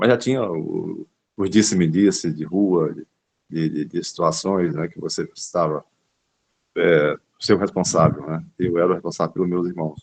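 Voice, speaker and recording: At a fairly slow pace, a man speaks in a very deep, low voice with fairly even intonation. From Brazil, Northeast (raised in Fortaleza, Ceará). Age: 60s. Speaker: capoeira master. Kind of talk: interview, life story. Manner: halting, many repetitions.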